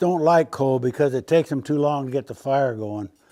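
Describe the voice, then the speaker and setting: This man has an unremarkable speaking voice. His pitch sits fairly high and varies in an ordinary way. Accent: American. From United States. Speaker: blacksmith. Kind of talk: casual instructional talk while demonstrating forging.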